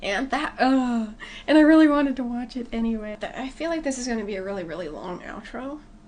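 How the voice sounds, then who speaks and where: Very fast, high-pitched speech from a woman, with lively intonation, big swings in loudness and noticeable background noise. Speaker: movie reaction youtuber. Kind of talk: casual vlog outro. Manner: halting with self-corrections.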